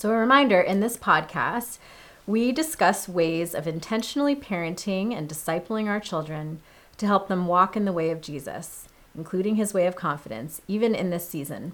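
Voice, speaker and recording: Here a woman speaks at medium pitch with lively intonation. She has an unremarkable speaking voice and a moderate pace. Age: 30s. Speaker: pastor. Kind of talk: podcast conversation.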